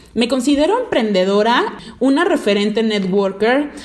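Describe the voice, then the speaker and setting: A woman's animated, fairly high voice at a moderate pace with ordinary pitch variation, plus noticeable background noise. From Mexico, Veracruz. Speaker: podcast host, network marketing entrepreneur. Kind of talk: motivational podcast monologue.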